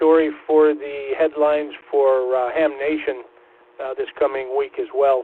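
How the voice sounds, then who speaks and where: Fairly slow pace from a man with a fairly high pitch, over noticeable background noise. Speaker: amateur radio operator and news reader. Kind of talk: casual chat. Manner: clear diction.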